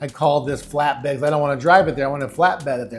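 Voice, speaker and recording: With music in the background, a man speaks in a fairly high pitch with ordinary pitch variation. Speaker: sales coach and entrepreneur. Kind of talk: motivational podcast monologue. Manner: animated.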